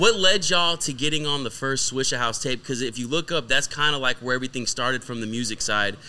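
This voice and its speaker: At a very fast pace with hardly any pauses, a man speaks in a medium pitch with a bright, sharp tone and ordinary pitch variation. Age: 30s. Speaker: podcast host. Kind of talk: interview.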